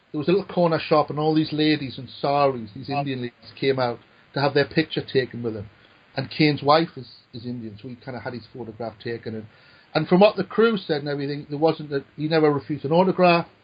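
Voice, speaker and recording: A man with a Newcastle accent at a very fast pace, somewhat breathy and fairly high-pitched, with ordinary pitch variation and big swings in loudness. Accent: Newcastle (Geordie). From northern England, Newcastle. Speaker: screenwriter. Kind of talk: casual chat. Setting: podcast. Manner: halting, repeats words.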